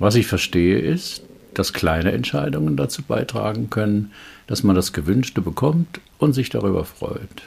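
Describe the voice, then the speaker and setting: At a moderate pace, a man with a fairly low pitch and vocal fry speaks with very wide pitch swings. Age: 70s. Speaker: executive trainer and coach. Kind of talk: reading aloud a case report.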